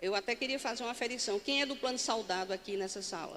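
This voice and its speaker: Very fast speech comes from a woman whose pitch varies in an ordinary way. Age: 60s. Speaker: pension fund board chair. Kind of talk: conference talk. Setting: stage with audience. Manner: standing, addressing audience directly.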